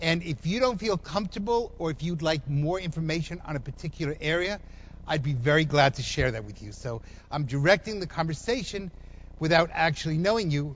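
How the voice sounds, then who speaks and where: A man with a New Jersey accent talks fairly quickly at a fairly high pitch, with lively intonation. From New Jersey, US. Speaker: economic development expert, speaker. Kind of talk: public talk to audience.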